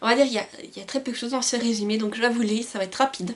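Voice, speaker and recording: Noticeable background noise runs behind a woman whose high voice shows ordinary pitch variation. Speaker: book youtuber. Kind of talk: casual vlog talk with blurb reading. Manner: hesitant, many fillers.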